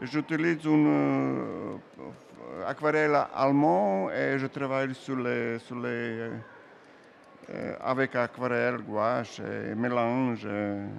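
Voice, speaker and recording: Over noticeable background noise, a man with a medium pitch speaks at a very slow pace with lively intonation and long, frequent pauses. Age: old. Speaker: comic book artist. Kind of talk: interview while drawing. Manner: halting.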